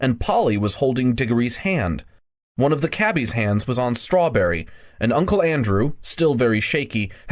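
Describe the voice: Against a quiet background, the speaker does plain reading aloud with lively intonation.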